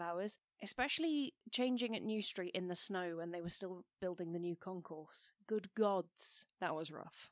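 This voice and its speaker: A woman with a British accent is heard in a dry, close sound with no echo. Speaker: science podcast co-host. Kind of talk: casual chat.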